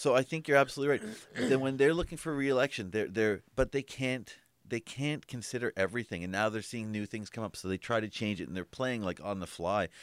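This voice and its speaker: With an unremarkable speaking voice and ordinary pitch variation, a man moves at a fairly quick pace with hardly any pauses. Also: medium pitch for a man, dry, close sound with no echo. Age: 30s. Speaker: podcast co-host. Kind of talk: casual chat.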